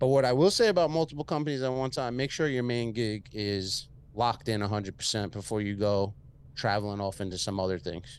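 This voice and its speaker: An animated man with an American accent, medium pitch, lively intonation, and a fairly quick pace. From Long Island, New York. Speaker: entrepreneur and podcast host. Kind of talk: casual interview chat. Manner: casual, profane, animated.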